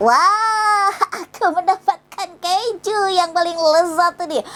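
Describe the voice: A woman's put-on character voice, extremely high-pitched and very slow.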